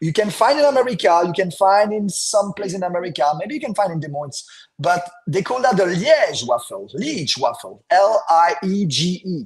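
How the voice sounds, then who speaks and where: With a French accent and an animated tone, the speaker talks at a moderate pace with lively intonation over music in the background. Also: man, high pitch for a man. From Belgium, French-speaking south. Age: 40s. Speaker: podcast guest, Belgian fan. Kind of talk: casual chat. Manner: halting.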